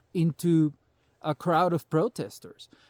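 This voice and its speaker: A man speaks with a Salvadoran accent at a fairly high pitch. The sound is dry and close, with no echo. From El Salvador. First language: Spanish. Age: 40s. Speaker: prepper vlogger. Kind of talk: casual monologue vlog. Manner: animated.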